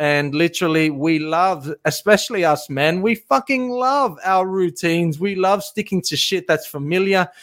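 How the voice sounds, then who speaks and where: Speaking fairly slowly, a man has an animated tone. His pitch variation is ordinary. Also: very clean recording, silent background. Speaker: fitness coach podcaster. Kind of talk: solo monologue podcast, motivational talk. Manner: animated, motivational, casual.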